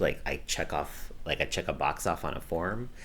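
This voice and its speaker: With an American accent, a man speaks at a moderate pace in a very deep, low pitch with vocal fry and ordinary pitch variation. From US West Coast, Los Angeles County. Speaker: activist. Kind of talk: interview.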